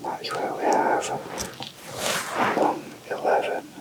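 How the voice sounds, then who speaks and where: A man whispering amid noticeable background noise. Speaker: massage therapist. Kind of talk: ASMR massage explanation. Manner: whispered, soft-spoken.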